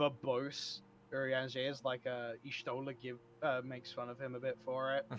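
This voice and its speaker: Speaking at a moderate pace, a man keeps his medium-pitched voice flat and monotone. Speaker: podcast co-host. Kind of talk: casual chat. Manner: loud. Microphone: cheap headset mic with aggressive noise cancellation, breaking up.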